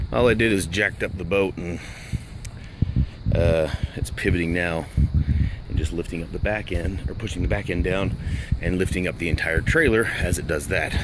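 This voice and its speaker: A man talks at a moderate pace with ordinary pitch variation and long, frequent pauses. The sound is dry with no echo, over noticeable background noise. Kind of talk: casual tutorial commentary. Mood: mildly frustrated, wry. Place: street. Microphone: phone near.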